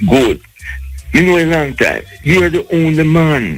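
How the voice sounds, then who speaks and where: A man with a Jamaican accent over music in the background. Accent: Jamaican patois. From Jamaica, Kingston. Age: 70s. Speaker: caller. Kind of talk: radio call-in.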